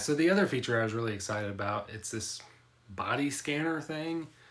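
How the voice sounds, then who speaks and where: The voice is an unremarkable speaking voice moving at a fairly quick pace. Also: man. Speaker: tech youtuber. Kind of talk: product review. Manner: casual.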